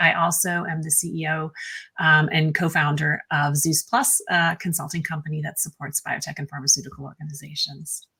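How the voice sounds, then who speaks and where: A woman talks at a fairly quick pace in a fairly low voice with fairly even intonation. Hers is an unremarkable speaking voice. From United States. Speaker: pharma consultant and company CEO. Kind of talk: panel introduction.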